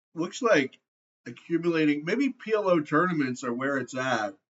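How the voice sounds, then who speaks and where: This is a man speaking. His intonation is lively. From Canada. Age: 40s. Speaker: poker player. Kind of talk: live gameplay commentary. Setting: screen recording.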